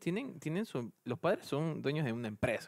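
A man speaks at a fairly quick pace in a very clean, dry and close recording with a silent background and no echo. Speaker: office worker and university student. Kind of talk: casual chat. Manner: halting.

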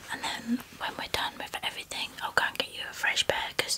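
A woman whispers at a moderate pace. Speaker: presenter. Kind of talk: product review chat. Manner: soft, hushed ASMR voice. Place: studio. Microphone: studio mic.

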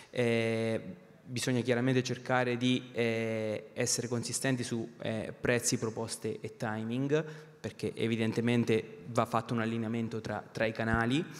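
A man speaks fairly slowly with monotone, flat intonation. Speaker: company finance director; panelist. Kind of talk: panel discussion. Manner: halting, many repetitions; passionate. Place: stage. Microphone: handheld.

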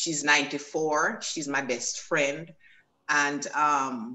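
A woman talks at a very slow pace. Her pitch is very deep and low. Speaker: former fashion model and educator. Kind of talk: personal testimony.

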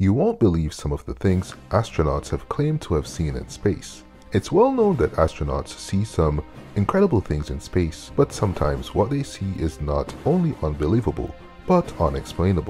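Faint music plays in the background as a man with a very deep, low pitch speaks at a moderate pace with very wide pitch swings. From Canada. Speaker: content creator. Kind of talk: fact narration.

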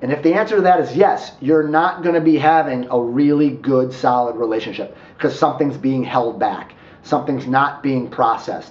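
A man talks with hardly any pauses and ordinary pitch variation. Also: moderate pace. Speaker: relationship coach. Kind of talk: advice talk to camera. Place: home room.

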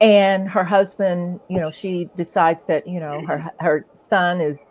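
A woman with an American accent talks at a fairly slow pace. Her pitch is fairly low and her intonation fairly even. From Ohio, US Midwest. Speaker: author and coach. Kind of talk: casual chat. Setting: live stream. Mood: warm, grateful, animated. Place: home room. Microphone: video call.

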